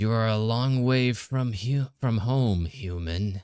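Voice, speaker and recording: A man puts on a character voice at a medium pitch. He speaks at a fairly slow pace. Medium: read story. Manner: mocking, menacing.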